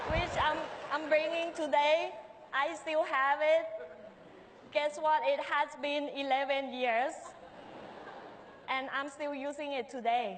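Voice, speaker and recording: A woman with a Thai accent speaks at a very slow pace in a high pitch, her intonation fairly even. Long pauses come often, and the room echo is audible. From Thailand, Bangkok. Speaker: restaurant owner and chef. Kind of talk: public talk. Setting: stage with audience.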